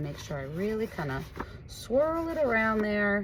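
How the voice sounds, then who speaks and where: A woman's voice over noticeable background noise. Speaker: art teacher. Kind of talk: tutorial. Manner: animated.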